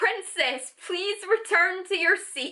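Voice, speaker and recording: A woman puts on a character voice with an extremely high pitch. She speaks at a fairly slow pace. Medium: read story. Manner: formal, pedantic.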